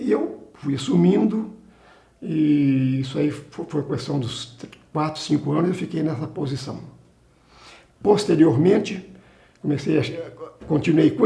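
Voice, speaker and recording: A man's fairly high, fairly slow speech with lively intonation and audible room echo. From Brazil, Minas Gerais (Carangola). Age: 70s. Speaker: retired salesman and company employee. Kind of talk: oral history interview. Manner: halting, with frequent restarts.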